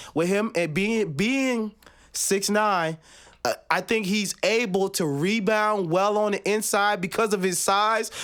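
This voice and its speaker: At a fairly slow pace, a man with a high voice speaks in an animated tone with ordinary pitch variation. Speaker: sports talk show host. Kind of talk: casual chat. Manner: loud.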